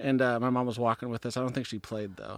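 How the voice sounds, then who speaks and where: A man with a medium-pitched voice is heard on a very clean recording against a silent background. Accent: American. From Olympia, Washington, US Pacific Northwest. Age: 30s. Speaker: professional disc golfer. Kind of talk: casual interview chat. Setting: in person, on mics at tournament.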